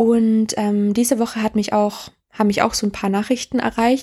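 On a very clean recording with a silent background, a woman speaks at a moderate pace in a fairly high voice with a dark, mellow tone. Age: 20s. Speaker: podcast host. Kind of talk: casual monologue. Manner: halting.

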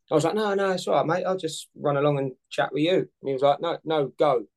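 Speaking at a moderate pace with a London accent, a man comes through with a dry, close sound and no echo. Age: 40s. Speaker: firefighter and amateur triathlete. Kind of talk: casual interview chat.

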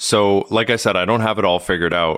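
A man with an unremarkable speaking voice talks at a moderate pace in a fairly low pitch. The recording is very clean, with a silent background. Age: 30s. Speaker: podcaster and mental health advocate. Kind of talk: casual interview chat.

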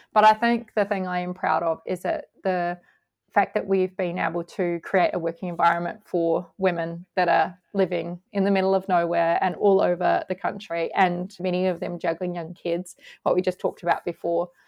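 A woman with an Australian accent talks at a moderate pace in a fairly low pitch, with monotone, flat intonation. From Australia, rural outside Sydney. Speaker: magazine publisher and editor. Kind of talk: interview conversation.

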